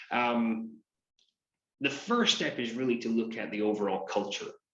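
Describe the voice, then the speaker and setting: A man with a Scottish accent speaks at a moderate pace and medium pitch, with ordinary pitch variation. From Scotland, Aberdeen. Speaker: business coach. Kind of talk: interview.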